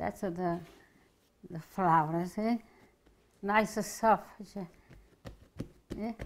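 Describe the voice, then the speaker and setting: A woman with an Italian accent speaks at a very slow pace, with fairly even intonation and long, frequent pauses. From Italy. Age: 80s+. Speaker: home cook. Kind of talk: cooking demonstration. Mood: warm, cheerful. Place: kitchen.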